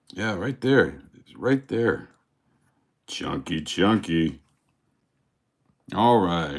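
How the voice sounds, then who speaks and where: A man speaks at a very slow pace with vocal fry, long, frequent pauses, big swings in loudness and very wide pitch swings. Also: fairly low pitch for a man. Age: 50s. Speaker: snake breeder. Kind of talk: live stream. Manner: stuttering.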